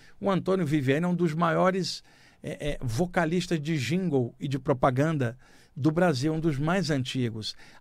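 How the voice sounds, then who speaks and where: Here a man has a plain, everyday voice, fairly high in pitch with ordinary pitch variation, speaking at a moderate pace in a very clean recording with a silent background. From Rio de Janeiro, Baixada Fluminense. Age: 60s. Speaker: radio host and spiritualist writer. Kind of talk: spiritual radio talk. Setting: radio studio.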